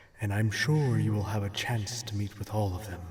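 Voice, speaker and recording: A man puts on a character voice. He pitches it fairly low. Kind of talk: ASMR role play. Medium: audio drama. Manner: deadpan.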